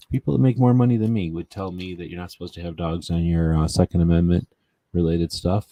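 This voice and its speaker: A man's very deep, low voice with lively intonation at a very fast pace. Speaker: gun rights show host. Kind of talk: casual livestream chat. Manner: mumbling.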